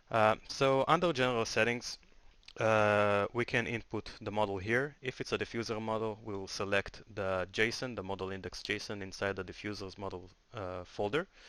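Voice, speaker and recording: A man with a non-native accent speaks at a moderate pace in a fairly low voice with ordinary pitch variation. His tone is bright and sharp, on a very clean recording with a silent background. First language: not English. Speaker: software tool developer. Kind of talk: tutorial. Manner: hesitant, many filler sounds.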